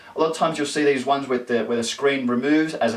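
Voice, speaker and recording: A man speaks with an Australian accent over noticeable background noise. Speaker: tech vlogger. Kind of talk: casual tech news vlog. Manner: fast; animated.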